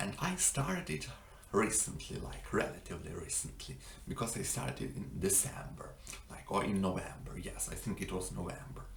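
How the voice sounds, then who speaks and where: A man whispers at a moderate pace. Audible room echo and noticeable background noise surround him. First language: not English. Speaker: language-learning vlogger. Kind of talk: casual vlog monologue. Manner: halting, many fillers.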